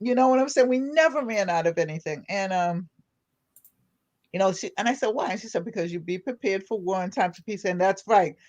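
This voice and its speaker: A woman's very fast, medium-pitched speech with lively intonation and big swings in loudness, over a quiet background. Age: 70s. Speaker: retired counselor, online reviewer. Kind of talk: casual interview chat.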